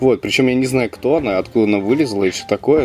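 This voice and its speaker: Talking very fast with ordinary pitch variation, a man is heard against noticeable background noise. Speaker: translator and podcast co-host. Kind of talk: casual chat. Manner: animated.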